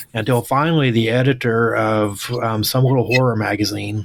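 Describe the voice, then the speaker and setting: Strong Oklahoma accent from a man at medium pitch. He talks at a moderate pace with fairly even intonation. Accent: Oklahoma twang, strong. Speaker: author and English teacher. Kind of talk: casual interview chat.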